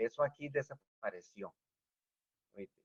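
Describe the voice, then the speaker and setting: A man talks at a fairly slow pace with a fairly high pitch. His intonation is lively. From Venezuela, rural village. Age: 60s. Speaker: engineer. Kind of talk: interview. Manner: animated.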